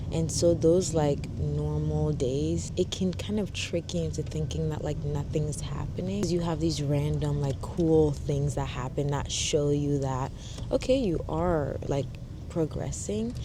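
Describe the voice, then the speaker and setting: A woman with a very deep, low pitch speaks at a fairly slow pace with very wide pitch swings amid audible room echo and noticeable background noise. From Ghana, Accra. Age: 20s. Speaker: lifestyle vlogger and model. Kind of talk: interview self-introduction; casual vlog talk. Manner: casual, chatty.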